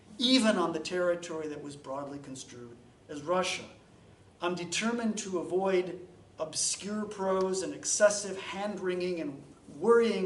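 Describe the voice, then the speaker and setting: A man with a high pitch and ordinary pitch variation speaks with big swings in loudness. Audible room echo and noticeable background noise are present. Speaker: historian giving a talk. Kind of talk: academic lecture.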